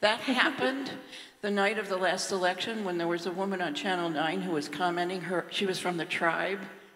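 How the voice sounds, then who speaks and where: At a fairly quick pace, a woman speaks at medium pitch with ordinary pitch variation, amid audible room echo and noticeable background noise. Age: 70s. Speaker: audience member asking a question. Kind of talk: audience question at panel. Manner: halting.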